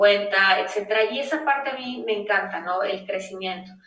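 A woman speaks at medium pitch and a moderate pace, with ordinary pitch variation. Noticeable background noise runs underneath. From Mexico, Nuevo León. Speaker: space lawyer. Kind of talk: interview.

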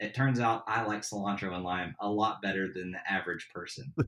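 A man with an American accent has a plain, everyday voice at a fairly low pitch. He moves at a moderate pace with ordinary pitch variation. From Tennessee, US South. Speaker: backyard barbecuer and podcaster. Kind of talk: casual interview chat. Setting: remote podcast recording.

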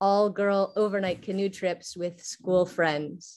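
A woman with an American accent speaks at a fairly slow pace in a medium pitch, with fairly even intonation and a normal speaking voice. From Texas. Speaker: university teacher and poet. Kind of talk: prepared response read aloud. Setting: video call.

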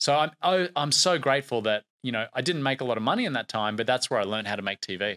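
A man talks at a fairly quick pace in a bright, sharp tone with ordinary pitch variation. The sound is dry and close with no echo, on a very clean recording with a silent background. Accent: Australian. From Australia, Brisbane. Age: late 30s. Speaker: TV producer. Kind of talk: interview. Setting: studio.

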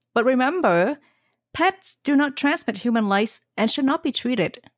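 The recording is very clean, with a silent background and a dry, close sound with no echo. A woman speaks at a fairly slow pace. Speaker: podcast host, pharmacist. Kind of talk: casual educational chat.

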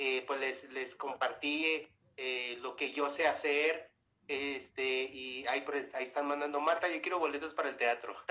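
A man speaks with a northern Mexican accent. His pace is moderate. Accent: northern Mexican (Chihuahua). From Mexico, Chihuahua. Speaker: singer. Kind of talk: interview. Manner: halting.

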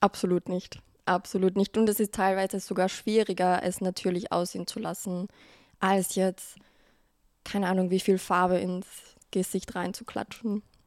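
A woman at a medium pitch speaks in a monotone, flat way at a moderate pace, with long, frequent pauses and a dry, close sound with no echo, in a very clean recording with a silent background. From Austria, Carinthia. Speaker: make-up artist and content creator. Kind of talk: casual interview chat.

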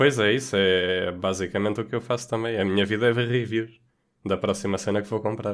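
Using an ordinary speaking voice, a man talks at a fairly quick pace and fairly low pitch with fairly even intonation. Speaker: podcast co-host. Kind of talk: casual chat.

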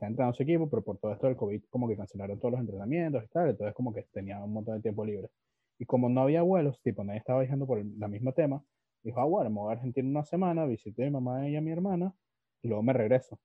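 A man's medium-pitched voice with a Venezuelan accent, lively intonation and a very fast pace. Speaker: podcast host. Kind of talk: casual chat.

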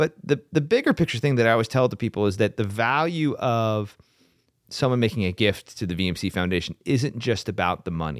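A man at a fairly quick pace with lively intonation, in a very clean recording with a silent background and a dry, close sound with no echo. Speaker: foundation president. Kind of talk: casual interview. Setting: studio. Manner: talkative, rambling, humorous.

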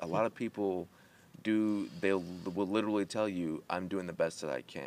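A man's plain, everyday voice, fairly low in pitch, with a fairly quick pace and lively intonation. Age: 30s. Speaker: podcast host. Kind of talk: casual chat.

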